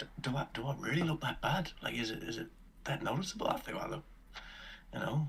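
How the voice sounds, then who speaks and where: Whispering in a breathy, put-on character voice, a man rushes at a very fast pace with long, frequent pauses over clear background noise. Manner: whispering, self-conscious.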